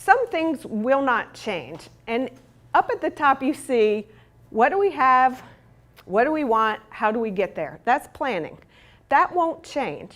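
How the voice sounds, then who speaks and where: Speaking at a very slow pace, a woman with an American accent uses a high pitch and very wide pitch swings. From US South. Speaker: urban planning consultant. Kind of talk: conference presentation.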